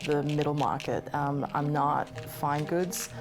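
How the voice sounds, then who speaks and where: A fairly slow voice in an Australian accent, with music in the background. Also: woman. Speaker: gemstone dealer. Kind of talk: documentary interview.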